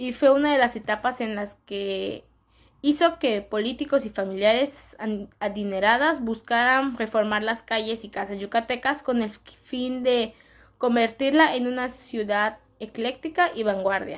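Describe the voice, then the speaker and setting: Speaking at a fairly slow pace, a woman uses a fairly high pitch and ordinary pitch variation. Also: very clean recording, silent background. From Yucatán, Mexico. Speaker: student presenter. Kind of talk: class presentation. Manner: halting, self-correcting.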